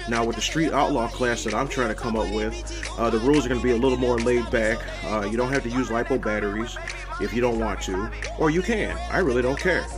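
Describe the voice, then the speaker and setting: Clear music sounds in the background. A man talks over it. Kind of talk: casual vlog chat. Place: home room. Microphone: phone near.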